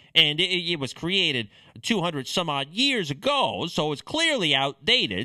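A man speaks in a bright, sharp tone with vocal fry. His pitch swings very widely. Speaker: political podcast host. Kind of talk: solo political commentary.

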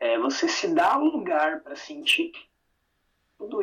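A man with an extremely high pitch and a bright, sharp tone speaks with very wide pitch swings. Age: 30s. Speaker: psychologist. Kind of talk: interview.

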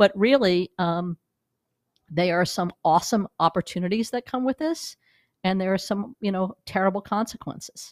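A woman with an American accent speaks at a moderate pace in a plain, everyday voice, medium in pitch with ordinary pitch variation, on a very clean, dry, close recording with no echo and a silent background. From New York. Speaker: digital media executive. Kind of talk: interview. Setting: studio.

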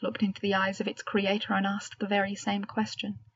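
Natural reading voice, heard aloud

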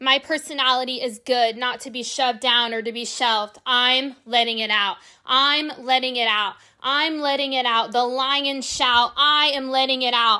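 Raised and projected, a woman's high voice has a bright, sharp tone that is also warm, with fairly even intonation on a very clean recording with a silent background. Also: moderate pace. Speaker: podcast host. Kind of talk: poem performed, spoken-word style delivery with emphatic repetition. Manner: rhythmic, emphatic, declarative, building in intensity with repeated lines; warm, earnest, encouraging.

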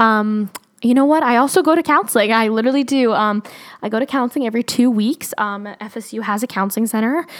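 A woman talks at a very fast pace in a fairly high pitch. Her tone is animated, and her pitch variation is ordinary. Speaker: podcast host. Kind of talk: casual solo podcast monologue. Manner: fast talker; animated, chatty.

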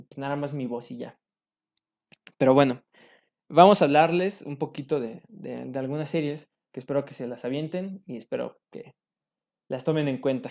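A man with a Mexican accent speaks with long, frequent pauses, big swings in loudness and ordinary pitch variation. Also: moderate pace. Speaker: podcast host. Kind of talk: casual monologue.

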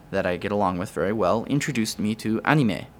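A man's ordinary speaking voice, medium in pitch, with ordinary pitch variation. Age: 20s. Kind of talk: casual interview.

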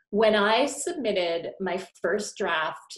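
Lively intonation from a woman at medium pitch in a plain, everyday voice. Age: 40s. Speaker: author and career coach. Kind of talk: interview.

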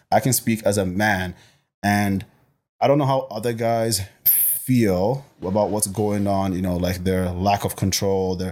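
A man speaks in a normal speaking voice at a fairly low pitch. His intonation is fairly even. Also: very clean recording, silent background. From Botswana, Nigerian-born, in Canada since early teens. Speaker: personal trainer and bodybuilding competitor. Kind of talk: casual podcast interview.

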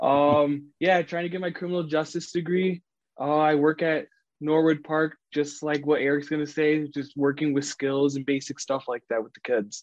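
Recorded dry and close with no echo, a man with an American accent speaks at a moderate pace, his loudness swinging widely. He has an ordinary speaking voice, fairly high in pitch, with fairly even intonation. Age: 20s. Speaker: special recreation coach and college student. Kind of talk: radio interview.

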